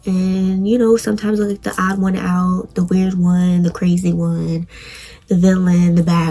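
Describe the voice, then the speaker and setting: A woman's medium-pitched, flat monotone voice at a moderate pace, with noticeable background noise. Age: 20s. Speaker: podcast host. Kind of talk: personal testimony monologue.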